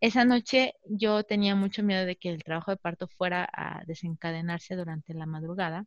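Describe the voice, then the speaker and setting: A woman uses a normal speaking voice at a medium pitch, with ordinary pitch variation and a moderate pace. She leaves hardly any pauses, and the sound is dry and close with no echo. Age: 30s. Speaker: mother sharing birth stories. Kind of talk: interview testimony.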